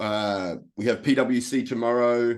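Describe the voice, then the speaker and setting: A man speaks with an Australian accent. His intonation stays flat and monotone. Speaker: life coach. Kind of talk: webinar presentation.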